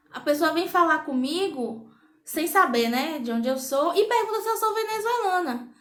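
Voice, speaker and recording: A woman speaks in an animated tone at a moderate pace, her pitch swinging very widely amid audible room echo. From Brazil, interior of Bahia. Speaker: vlogger. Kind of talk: casual vlog monologue.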